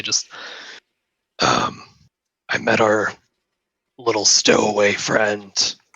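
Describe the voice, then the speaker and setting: A put-on character voice whispers quietly and raspily. It moves at a very slow pace. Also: man. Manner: whispering quietly.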